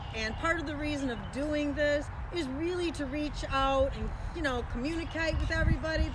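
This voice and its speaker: A loud, high-pitched woman's voice amid noticeable background noise and audible room echo. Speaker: home cooking and DIY channel host. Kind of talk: casual livestream chat. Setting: outdoors in neighbor's yard, live stream.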